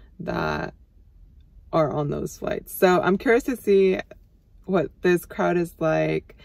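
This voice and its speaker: At a fairly slow pace, a woman speaks in a dry sound with no echo. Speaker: flight attendant vlogger. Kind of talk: casual vlog chat. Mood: relaxed, curious. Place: car. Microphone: phone near.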